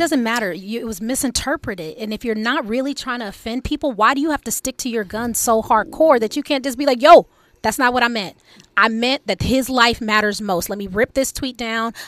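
The delivery is animated and playful, at a fairly quick pace with ordinary pitch variation. The recording is very clean, with a silent background. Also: woman, fairly high pitch for a woman. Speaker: radio co-host. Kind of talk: casual banter on talk radio. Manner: animated, playful, sassy.

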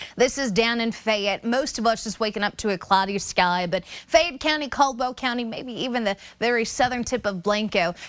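A woman's plain, everyday voice, fairly high, with ordinary pitch variation, a moderate pace and hardly any pauses. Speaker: meteorologist. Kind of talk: weather report. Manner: brisk; conversational.

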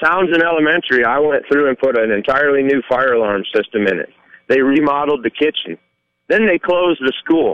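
With lively intonation and a fairly quick pace, this is an unremarkable speaking voice. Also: man, fairly high pitch for a man. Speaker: caller. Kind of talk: opinionated call-in. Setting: phone call.

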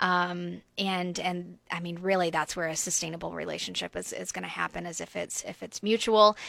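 On a very clean recording with a silent background, a woman speaks at a moderate pace with hardly any pauses. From US South, coastal Georgia (Brunswick area). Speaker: refugee ministry leader. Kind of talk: radio interview. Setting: radio studio.

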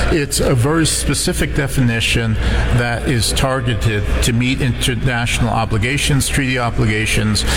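Noticeable background noise fills the clip. Through it, a man speaks at a moderate pace. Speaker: policy analyst. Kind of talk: radio interview.

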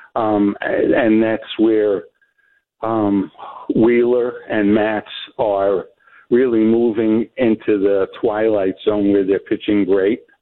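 In a New York accent, a man talks at a very slow pace. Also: very even loudness. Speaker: caller. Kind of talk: phone-in call.

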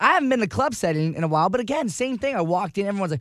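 This man's speech has lively intonation. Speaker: radio host and DJ.

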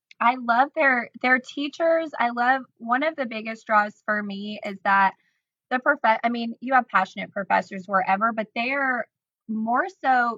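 With a US Midwestern accent, a woman speaks at a fairly slow pace in a fairly high pitch, her tone bright and sharp and her pitch variation ordinary. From Illinois, Decatur. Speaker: social media influencer and stylist. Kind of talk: casual interview chat.

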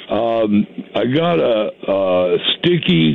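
A man with an American accent speaks at a fairly low pitch with very wide pitch swings over noticeable background noise. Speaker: caller. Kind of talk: casual phone chat asking a question. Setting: phone call.

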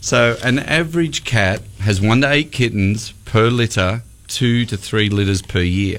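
A man with an Australian accent at a medium pitch and fairly slow pace, with ordinary pitch variation, very even loudness and hardly any pauses. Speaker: radio host. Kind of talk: casual chat. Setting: studio.

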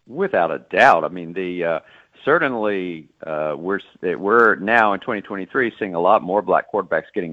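A man with an American accent talks at a fairly slow pace in a fairly low pitch. His is an unremarkable speaking voice with lively intonation. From Texas (Dallas). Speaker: author and sportswriter. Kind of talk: interview.

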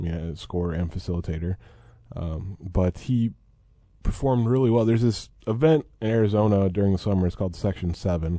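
A man speaks at a fairly quick pace with a dark, mellow tone and ordinary pitch variation. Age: 30s. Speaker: sports beat writer. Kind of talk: casual chat.

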